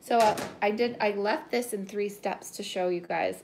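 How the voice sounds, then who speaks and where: There is noticeable background noise behind a woman speaking. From Canada. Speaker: pastry chef; home cook host. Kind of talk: live kitchen tutorial. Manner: casual and chatty. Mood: relaxed, chatty. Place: kitchen. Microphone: phone near.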